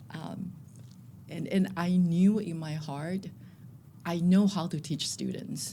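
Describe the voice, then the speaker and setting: Woman with a dark, mellow, somewhat breathy tone, fairly low pitch, ordinary pitch variation, very slow pace, and long, frequent pauses. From Taiwan. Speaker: school principal. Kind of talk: interview.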